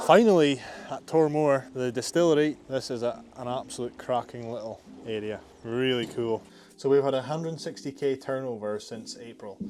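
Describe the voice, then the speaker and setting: A man's voice with ordinary pitch variation and big swings in loudness. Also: medium pitch for a man, moderate pace. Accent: Scottish. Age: 20s. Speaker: landscaping business owner. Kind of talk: casual vlog talk to camera.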